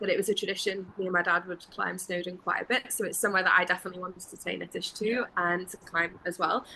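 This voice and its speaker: A woman with a Welsh accent talks at a very fast pace with hardly any pauses, in a monotone, flat intonation. Her loudness swings a lot, and there is noticeable background noise. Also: medium pitch for a woman. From Wales. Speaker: travel interview guest, full-time traveler. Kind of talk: casual interview chat.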